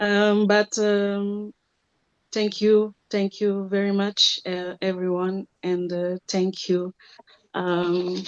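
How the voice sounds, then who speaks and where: With a non-native accent, a woman speaks very slowly in a flat monotone, the sound dry and close with no echo. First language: not English. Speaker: singer. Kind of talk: self-introduction on webinar. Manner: halting.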